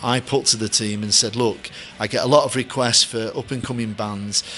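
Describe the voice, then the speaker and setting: Over music in the background, the speaker has a Mancunian accent and monotone, flat intonation. The pace is moderate. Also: man. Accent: deep Mancunian. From Manchester, England. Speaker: stadium announcer. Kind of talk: interview. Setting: hotel.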